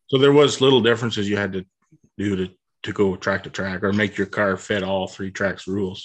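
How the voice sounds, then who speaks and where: Fairly low-pitched and fairly even in intonation, a man speaks at a fairly quick pace in a plain, everyday voice. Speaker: race car driver. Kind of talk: casual interview chat.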